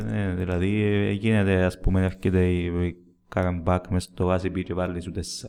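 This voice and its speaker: A man's very deep, low, dark and mellow voice in a Cypriot accent, monotone and flat, at a moderate pace. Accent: Cypriot Greek. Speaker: football fan podcast host. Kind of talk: casual chat.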